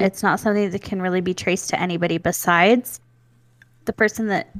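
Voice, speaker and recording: With an ordinary speaking voice, a woman speaks at a fairly quick pace and medium pitch, her intonation fairly even and the sound dry and close with no echo. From US South, then Nevada. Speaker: podcast co-host. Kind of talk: casual chat, true crime storytelling. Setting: remote video call, home studio with pop filter.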